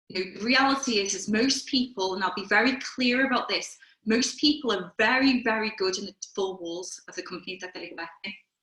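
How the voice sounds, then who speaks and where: A Liverpool accent with lively intonation at a fairly quick pace. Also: woman, big swings in loudness. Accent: Liverpool (Scouse). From Liverpool, England. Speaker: career coach. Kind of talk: webinar talk. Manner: conversational.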